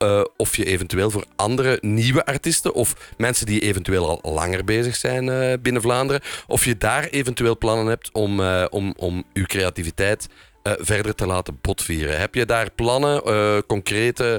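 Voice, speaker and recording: An unremarkable speaking voice, this man talks at a moderate pace and a fairly low pitch, with ordinary pitch variation, very even loudness and a dry, close sound with no echo. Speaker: podcast host. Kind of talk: podcast episode with scripted narration and phone interview.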